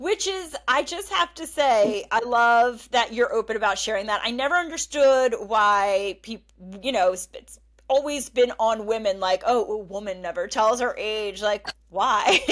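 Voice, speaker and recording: In a very clean recording with a silent background, a woman with a normal speaking voice talks at a fairly slow pace, her fairly high pitch carrying lively intonation and big swings in loudness. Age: 40s. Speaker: podcast host. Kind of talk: podcast interview.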